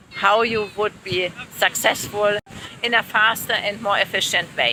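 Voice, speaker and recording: A woman with a German accent. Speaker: language teacher. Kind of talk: casual chat. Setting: outdoors at the beach.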